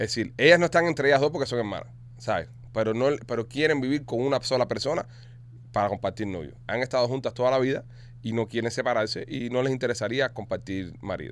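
This man talks at a very fast pace. His voice has a medium pitch and ordinary pitch variation. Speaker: comedy podcast host. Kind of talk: casual comedic chat, reading listener messages. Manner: animated.

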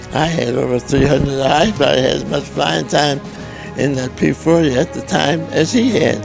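A man talks at a moderate pace. The sound is dry with no echo, and clear music plays in the background. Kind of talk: interview answer. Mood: proud, amused storytelling. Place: home room. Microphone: handheld.

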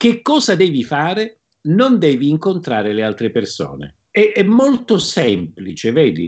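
A man talks very slowly, and the background is quiet. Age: 50s. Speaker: plant scientist and author. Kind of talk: interview. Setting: video call. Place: home room. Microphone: video call.

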